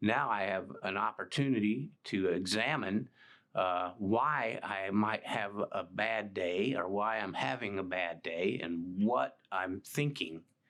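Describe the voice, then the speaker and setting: A man with a Texan accent speaks at a very slow pace, his pitch fairly low. His pitch varies in an ordinary way, and the background is quiet. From Texas, Dallas area. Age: 60s. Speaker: recovering addict. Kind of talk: testimony. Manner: halting.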